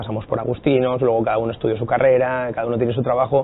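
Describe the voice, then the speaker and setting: This man's delivery comes out very fast. His intonation stays flat and monotone. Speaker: guest. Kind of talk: interview answer. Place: studio. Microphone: lapel.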